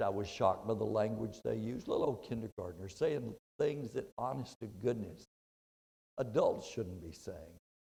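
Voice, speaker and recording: A man with a Texan accent, talking at a moderate pace. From Texas (Brownwood). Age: 70s. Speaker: motivational speaker, retired school principal. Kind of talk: motivational speech.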